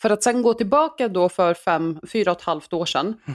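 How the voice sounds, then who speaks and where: This woman's voice sits at a medium pitch and has lively intonation. It is an unremarkable speaking voice. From Iraq, raised in Sweden. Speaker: former politician. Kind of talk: interview.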